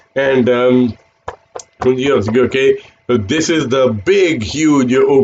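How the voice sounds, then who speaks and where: This man speaks with an Indian accent. His pitch sits in the medium range. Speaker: financial advisor. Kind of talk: sales pitch. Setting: live stream. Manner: hesitant, many fillers.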